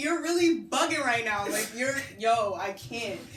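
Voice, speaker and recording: A woman's animated tone at a fairly slow pace, with noticeable background noise. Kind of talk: casual podcast interview host. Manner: animated, joking.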